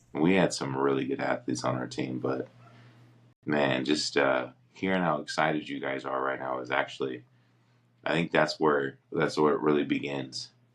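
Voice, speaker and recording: In an American accent, a man speaks with a very deep, low pitch and vocal fry. His intonation stays fairly even. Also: moderate pace. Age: 40s. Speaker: podcast co-host and former football player. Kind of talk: casual chat.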